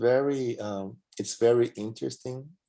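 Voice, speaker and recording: Speaking very slowly, a man uses a medium pitch with ordinary pitch variation and a dark, mellow tone. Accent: Portuguese. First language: Portuguese. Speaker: medium in a spiritist study group. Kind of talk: testimony in a study class. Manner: halting, many repeated words and fillers.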